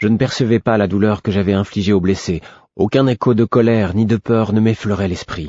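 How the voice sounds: The speaker uses a natural reading voice, keeping the intonation fairly even.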